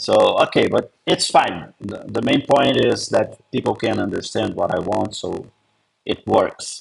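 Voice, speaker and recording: A man talks fairly slowly with a non-native accent. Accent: foreign. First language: not English. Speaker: comedy writer launching a meme coin. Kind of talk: casual Q&A talk. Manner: halting.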